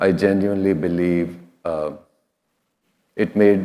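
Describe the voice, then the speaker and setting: A man speaks in a dark, mellow tone with a very deep, low pitch. His Indian accent comes through at a moderate pace. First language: an Indian regional language, then Hindi. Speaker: food safety executive. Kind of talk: conference keynote. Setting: stage with audience. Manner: conversational.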